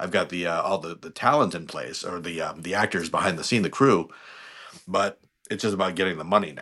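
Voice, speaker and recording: A man with a very deep, low pitch and a bright, sharp tone, in an American accent, at a fairly quick pace, with big swings in loudness and ordinary pitch variation. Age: 50s. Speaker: actor and scriptwriter. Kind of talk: interview. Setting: podcast recording.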